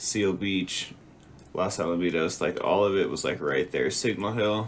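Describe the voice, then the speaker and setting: In a normal speaking voice, a man speaks at a moderate pace and fairly low pitch, with fairly even intonation and very even loudness. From moved around US: Texas, Utah, Nevada, California, Chicago. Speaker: podcast guest. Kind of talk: casual chat.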